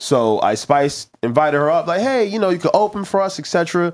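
A man's fairly quick, lively-intoned speech against a quiet background. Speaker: podcast co-host. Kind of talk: casual chat. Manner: joking. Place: studio. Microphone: studio mic.

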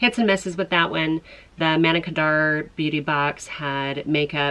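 Her voice is very deep and low for a woman. She speaks at a moderate pace with fairly even intonation. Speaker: beauty vlogger. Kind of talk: casual vlog chat. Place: home room.

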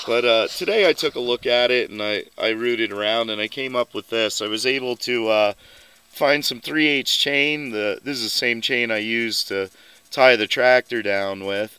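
At a moderate pace, the voice has a bright, sharp tone, ordinary pitch variation, and a dry sound with no echo. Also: man. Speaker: vehicle hobbyist vlogger. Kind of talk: casual vlog chat. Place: open country. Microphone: phone near.

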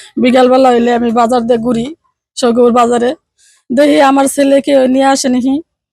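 A woman speaks with a high pitch and a dark, mellow tone. Her intonation stays fairly even. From Tangail, Bangladesh. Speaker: mother of a missing child, hotel worker. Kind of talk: emotional interview testimony.

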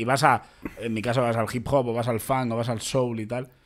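A man's unremarkable speaking voice at a medium pitch. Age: 30s. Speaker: podcast host, comedian. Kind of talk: casual chat.

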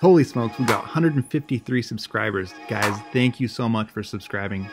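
Clear music plays in the background while the speaker talks at a fairly quick pace. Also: man. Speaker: builder vlogger. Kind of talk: casual vlog chat. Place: open country. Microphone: phone near.

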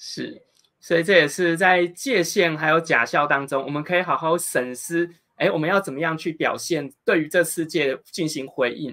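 Speech from a man comes at a moderate pace. The background is quiet. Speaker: interviewer. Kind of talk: interview. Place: home room.

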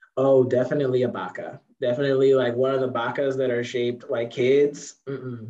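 A man with an American accent is speaking. He moves at a fairly quick pace with hardly any pauses. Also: quiet background. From Chicago, US. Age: 20s. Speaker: author and poet; poet. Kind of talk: interview. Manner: animated. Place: home room. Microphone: video call.

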